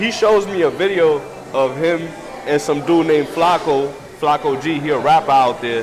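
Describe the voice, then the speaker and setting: Noticeable background noise and audible room echo surround a man with a fairly high pitch. He speaks at a moderate pace with ordinary pitch variation. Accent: American. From New York City, Washington Heights. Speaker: rapper. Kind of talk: casual interview. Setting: restaurant.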